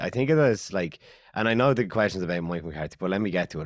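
This is a man speaking with an Irish accent. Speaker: radio presenter and podcast co-host. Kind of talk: casual chat.

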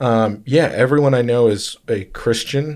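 In a very clean recording with a silent background, a man with an unremarkable speaking voice talks at a fairly slow pace with fairly even intonation. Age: 30s. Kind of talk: casual chat.

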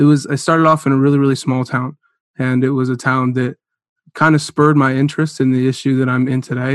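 Speaking at a fairly quick pace, a man with an American accent holds a medium pitch in a monotone, flat intonation. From US Midwest, northeast Ohio. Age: 20s. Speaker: startup CEO and university student. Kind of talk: interview conversation. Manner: halting, many fillers and repeated words.

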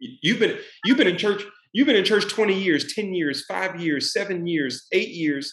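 The pace is fairly slow. The intonation is lively. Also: man, high pitch for a man. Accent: Texan. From Dallas, Texas. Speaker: author and former football player. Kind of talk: interview.

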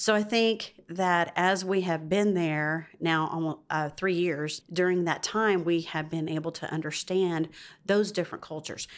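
A woman with a Southern US accent speaks fairly slowly at a fairly low pitch, with hardly any pauses. The recording is very clean, with a silent background. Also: fairly even intonation. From US South. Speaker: pastor's wife. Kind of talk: casual interview chat.

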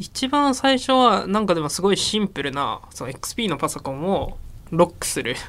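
This man talks at a moderate pace, his high voice moving through very wide pitch swings. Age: 20s. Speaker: startup founder and CEO. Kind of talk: interview.

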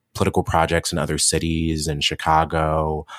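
A man with a very deep, low pitch speaks at a fairly quick pace with an American accent. The sound is dry and close, with no echo. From Cleveland, Ohio, US Midwest. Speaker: memoir author and activist. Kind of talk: interview.

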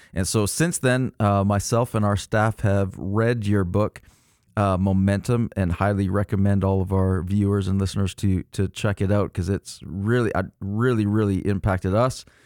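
A plain, everyday voice with fairly even intonation and very even loudness comes through a dry, close sound with no echo on a very clean recording with a silent background. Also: man, fairly low pitch for a man, moderate pace. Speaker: podcast co-host. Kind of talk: interview, casual conversation.

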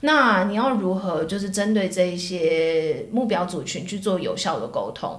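Speaking at a fairly slow pace with hardly any pauses, a woman uses lively intonation at medium pitch, with audible room echo and noticeable background noise. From Taiwan (Taipei). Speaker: tech marketing professional. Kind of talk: casual interview chat.

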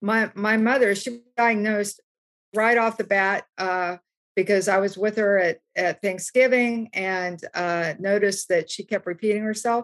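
An unremarkable speaking voice with an American accent talks at a fairly slow pace with fairly even intonation. The sound is dry and close, with no echo. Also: woman, medium pitch for a woman. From US South, West Virginia. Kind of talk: panel discussion. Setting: video call from home.

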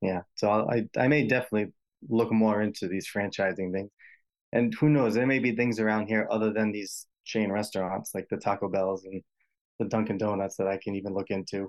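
With a Rhode Island accent, a man speaks fairly quickly in a fairly low pitch and fairly even intonation. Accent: Rhode Island, New England. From US Northeast, Rhode Island. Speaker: healthcare imaging worker. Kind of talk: advice call-in conversation.

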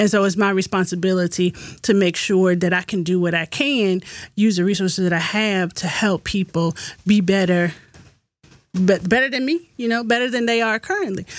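A woman speaks in an ordinary speaking voice at medium pitch and a moderate pace, with ordinary pitch variation. The recording is very clean, with a silent background. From US South (Virginia). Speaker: real estate agent and historian. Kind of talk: podcast interview.

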